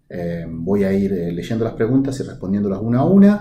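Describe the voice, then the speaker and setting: Over audible room echo, a man with an Argentine accent speaks fairly quickly, his voice somewhat breathy, dark and mellow, and fairly low. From Argentina, La Pampa province. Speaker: professor of animal genetics. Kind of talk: conference talk answering questions. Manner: hesitant with frequent fillers.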